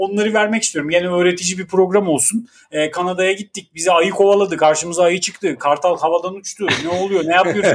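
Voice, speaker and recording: Pitched high, a man talks at a very fast pace. He leaves hardly any pauses. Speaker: podcast co-host, father. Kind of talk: casual chat. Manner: animated.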